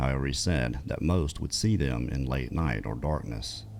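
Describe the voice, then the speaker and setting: Over music in the background, the speaker moves at a moderate pace with lively intonation. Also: man. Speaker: podcast host and storyteller. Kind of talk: story narration, reading out listener encounter accounts. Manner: conversational, narrating a historical account.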